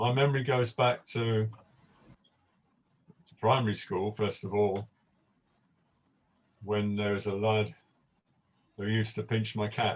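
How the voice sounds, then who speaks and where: With a British accent, the speaker moves at a fairly slow pace in a monotone, flat intonation, pausing long and often. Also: man, fairly low pitch for a man. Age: old. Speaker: panel guest. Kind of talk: panel discussion. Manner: stammer.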